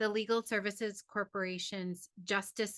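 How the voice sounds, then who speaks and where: A loud woman at a medium pitch, bright, sharp tone and moderate pace, in a dry, close sound with no echo. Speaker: university professor and researcher. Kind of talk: webinar presentation. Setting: online webinar.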